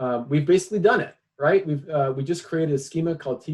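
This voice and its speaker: The man's voice sits fairly high in pitch. His pace is fairly quick. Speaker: tech executive presenting at a meetup. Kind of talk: technical presentation with live demo. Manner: fast; hesitant, many fillers and repeats.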